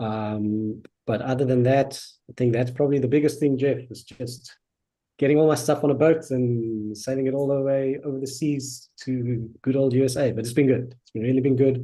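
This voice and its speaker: A man in a South African accent, medium pitch, monotone and flat intonation, moderate pace, and big swings in loudness. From South Africa, Johannesburg. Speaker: customer success manager. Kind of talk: casual interview. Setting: live stream.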